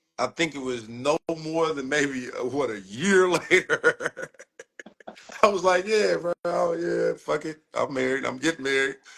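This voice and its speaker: Heard dry and close with no echo, a man with a fairly high voice speaks fairly slowly with lively intonation. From Ohio. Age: 40s. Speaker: podcast guest. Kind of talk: casual chat. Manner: animated.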